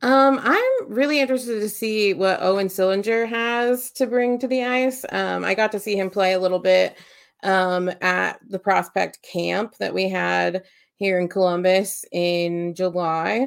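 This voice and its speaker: A woman with a plain, everyday voice speaks at a fairly slow pace and medium pitch. Her pitch variation is ordinary, and the recording is very clean with a silent background. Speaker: podcast co-host. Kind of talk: casual chat.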